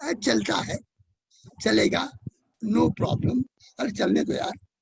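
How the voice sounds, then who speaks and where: A man with an Indian accent, dry and close with no echo. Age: 80s+. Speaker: educator and author. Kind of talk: interview answer. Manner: positive, energetic.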